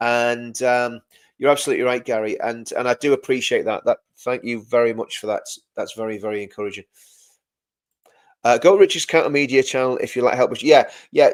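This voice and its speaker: A man with an English accent at a fairly quick pace, broken by long, frequent pauses, with big swings in loudness. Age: 50s. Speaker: live stream host and former soldier. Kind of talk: live stream commentary reading chat. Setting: live video stream. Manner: repetitive, stumbling restarts; animated, impassioned.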